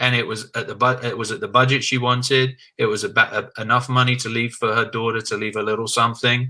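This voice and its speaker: Here a man speaks very fast with an English accent, his tone bright and sharp. The recording is very clean, with a silent background. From England. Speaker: insurance agent. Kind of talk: interview.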